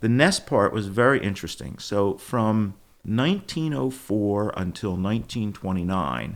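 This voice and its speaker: Lively in intonation, a man with a Philadelphia accent and a fairly low pitch speaks at a moderate pace in a very clean recording with a silent background. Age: 70s. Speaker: company founder, former sportswear business owner. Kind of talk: podcast interview.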